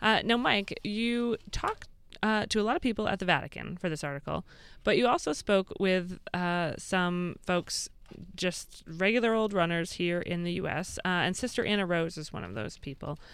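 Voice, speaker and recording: A woman with an American accent speaks at a moderate pace and medium pitch, with ordinary pitch variation and a plain, everyday voice. The recording is very clean, with a silent background. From Massachusetts. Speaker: radio host. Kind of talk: radio interview.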